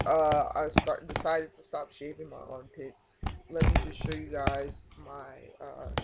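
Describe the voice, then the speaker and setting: Over noticeable background noise, a man talks at a fairly slow pace with big swings in loudness. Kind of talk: casual vlog update. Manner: halting.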